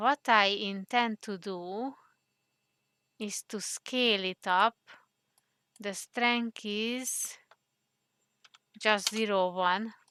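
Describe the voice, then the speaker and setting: A woman with a non-native accent speaks very slowly, with long, frequent pauses, a fairly high pitch and fairly even intonation. Her tone is bright and sharp, and the sound is dry and close with no echo. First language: not English. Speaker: 3D modeling tutorial creator. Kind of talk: tutorial. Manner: hesitant, many fillers.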